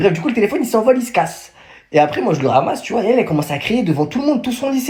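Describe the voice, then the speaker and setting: Racing along very fast, a man speaks in an animated tone at an extremely high pitch, with very wide pitch swings. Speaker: storyteller vlogger. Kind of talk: casual storytime.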